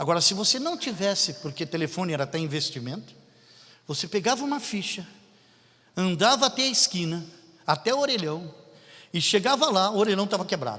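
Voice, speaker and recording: The speaker uses a raised, projected voice with a bright, sharp tone and very wide pitch swings, talking at a fairly quick pace broken by long, frequent pauses. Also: man, high pitch for a man. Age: 60s. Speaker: pastor. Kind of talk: sermon. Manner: animated.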